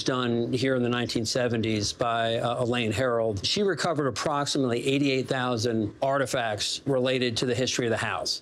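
A man talks at a fairly quick pace. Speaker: museum historian guide. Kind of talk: interview answer. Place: hall.

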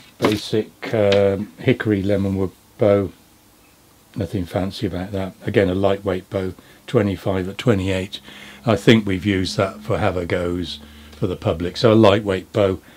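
With a fairly low pitch and a monotone, flat intonation, a man speaks at a fairly slow pace. Long, frequent pauses break up his speech, and background noise is noticeable. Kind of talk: show-and-tell explanation. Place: workshop. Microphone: camera far.

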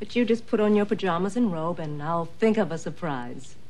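A woman talks at a fairly slow pace in a dark, mellow, somewhat breathy tone. Her pitch swings very widely. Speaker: actress playing a nurse. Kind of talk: scripted drama dialogue. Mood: warm, reassuring. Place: studio.

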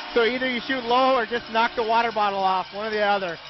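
Someone talks in an enthusiastic tone at a fairly quick pace, with noticeable background noise. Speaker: color commentator. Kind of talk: live sports commentary, analyst talk. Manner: enthusiastic, conversational, excitable on big plays.

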